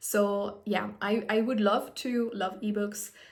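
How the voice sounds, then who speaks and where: The delivery is monotone and flat, with audible room echo and noticeable background noise. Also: woman. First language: French. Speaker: book vlogger. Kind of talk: casual vlog monologue. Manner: conversational with fillers and self-corrections.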